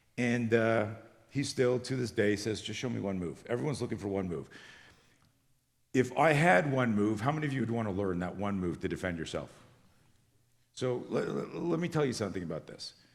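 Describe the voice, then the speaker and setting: A man with a medium pitch talks at a fairly quick pace with lively intonation, leaving long, frequent pauses. Audible room echo surrounds his voice. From Canada. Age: 60s. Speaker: self-defense instructor. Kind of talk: conference presentation. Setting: stage with audience. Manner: fast.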